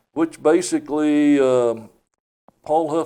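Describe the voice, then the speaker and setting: A man with an East Tennessee accent, dark, mellow tone, fairly even intonation, and very slow pace. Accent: Southern US (East Tennessee). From US South, East Tennessee. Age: 70s. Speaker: county commissioner and property appraiser. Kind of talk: casual interview. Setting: studio.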